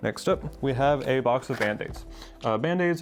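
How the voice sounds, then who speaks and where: Against noticeable background noise, a man talks at a very fast pace in a medium pitch. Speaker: percussionist and percussion educator. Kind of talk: instructional talk to camera. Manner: slightly uneven, adapting to talking.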